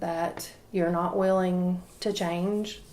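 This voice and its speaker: With an Appalachian accent, a woman speaks with fairly even intonation. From East Tennessee. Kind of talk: interview answer.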